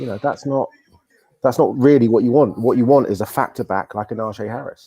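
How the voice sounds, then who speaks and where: At a fairly quick pace, a man with a British accent speaks at medium pitch with ordinary pitch variation. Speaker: sports writer. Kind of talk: casual sports analysis chat. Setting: live stream.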